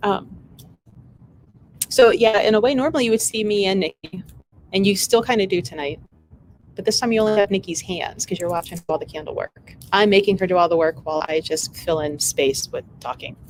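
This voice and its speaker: A woman with lively intonation at a fairly quick pace, music in the background. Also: medium pitch for a woman. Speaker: shop owner and livestream host. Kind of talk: casual livestream chat. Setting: live video stream in store. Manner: rambling, halting with fillers.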